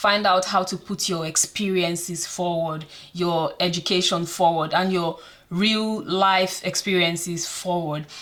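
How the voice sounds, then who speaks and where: A woman with a Nigerian accent speaks slowly-ish, at a fairly slow pace, in a fairly low pitch and a monotone, flat intonation. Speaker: career advice vlogger. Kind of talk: casual advice vlog.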